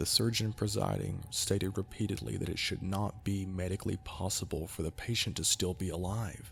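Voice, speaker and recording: A man's very deep, low voice with vocal fry and fairly even intonation, at a fairly quick pace with hardly any pauses. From Kentucky. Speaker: amateur narrator. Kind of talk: horror story narration.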